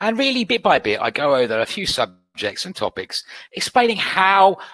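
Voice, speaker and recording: A man with a British accent, fairly high pitch, very wide pitch swings, vocal fry and a bright, sharp tone, in a dry, close sound with no echo. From UK. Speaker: trading educator. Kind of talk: webinar presentation. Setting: online webinar.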